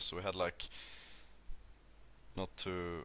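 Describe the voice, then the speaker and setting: In a Swedish accent, a man talks with a bright, sharp tone and a very deep, low pitch. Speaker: podcast co-host. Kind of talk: casual chat.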